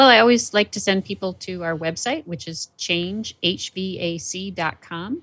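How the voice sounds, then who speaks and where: In an unremarkable speaking voice, a woman of medium pitch talks at a moderate pace with lively intonation, big swings in loudness and hardly any pauses, on a very clean recording with a silent background. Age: 50s. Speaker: marketing agency president. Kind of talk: casual chat.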